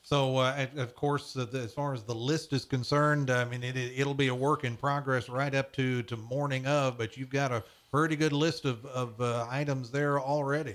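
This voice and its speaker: A man speaks in a plain, everyday voice at a medium pitch, with fairly even intonation and a moderate pace. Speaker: radio show host. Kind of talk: radio talk show interview. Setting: radio studio.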